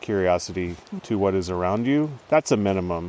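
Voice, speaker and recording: A man's ordinary speaking voice, fairly low in pitch, with an American accent, ordinary pitch variation, and a fairly quick pace. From northern California, Trinity River area. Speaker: fisheries biologist and naturalist. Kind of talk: casual conversation. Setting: outdoors in a rainforest.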